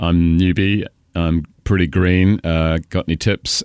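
A British accent with fairly even intonation, in a dry, close sound with no echo. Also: man. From Cambridge, England. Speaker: stadium announcer. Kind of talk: casual interview chat.

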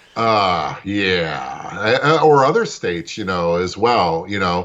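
In an ordinary speaking voice, a man with fairly low pitch talks with lively intonation. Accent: American. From New York, Brooklyn. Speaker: political activist. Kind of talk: interview.

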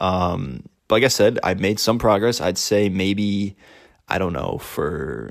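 A man with an unremarkable speaking voice talks at a fairly low pitch and fairly slow pace, with ordinary pitch variation. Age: 20s. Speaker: solo podcaster on eating disorder recovery. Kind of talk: casual solo monologue. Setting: lying in bed with a microphone.

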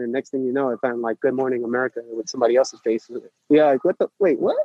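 A man with a New York accent talks at a very fast pace in a medium pitch and a dark, mellow tone, with ordinary pitch variation and a dry, close sound with no echo. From New York City (Manhattan). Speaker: running coach. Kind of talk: interview. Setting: outdoors at a protest run in Brooklyn.

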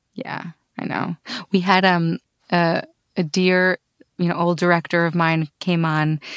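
Dry and close with no echo, the recording carries a woman's fairly low voice. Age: 30s. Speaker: podcast host. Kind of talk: interview conversation.

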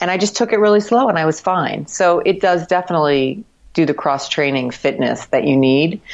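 A normal speaking voice with an American accent moves at a fairly quick pace, with lively intonation and very even loudness. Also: woman, fairly low pitch for a woman. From Miami, Florida. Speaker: marathon runner and cycling community member. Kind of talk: casual interview. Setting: Skype call.

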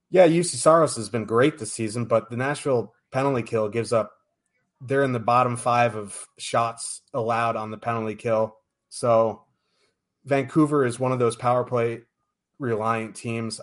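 A man speaks in a normal speaking voice at medium pitch with ordinary pitch variation. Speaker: podcast host. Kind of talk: casual sports betting show. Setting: live stream.

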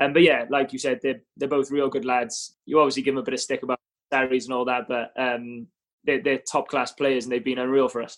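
A man with a Welsh accent and fairly even intonation, against a quiet background. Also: medium pitch for a man, fairly quick pace. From Cardiff, Wales. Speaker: rugby player (fly half). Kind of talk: casual interview chat.

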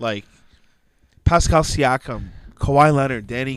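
This man has a normal speaking voice at a medium pitch. His pace is moderate. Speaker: podcast host. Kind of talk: casual chat. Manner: jokey, casual.

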